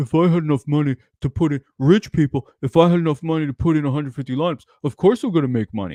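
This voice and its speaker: A man's put-on character voice, whiny with a whiny, smug tone, fairly high and very fast, with ordinary pitch variation. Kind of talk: online, casual. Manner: mocking, whiny, smug.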